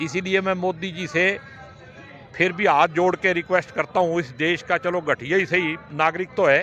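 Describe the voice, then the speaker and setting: A man speaks at a moderate pace with a high voice. Noticeable noise sits in the background. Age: 60s. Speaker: politician. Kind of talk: interview. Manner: animated.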